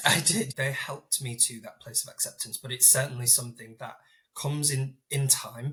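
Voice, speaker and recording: This is a man with a fairly high pitch. His intonation stays fairly even. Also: moderate pace. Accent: Yorkshire. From northern England, Hull. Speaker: inclusion leader with Crohn's disease. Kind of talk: podcast interview.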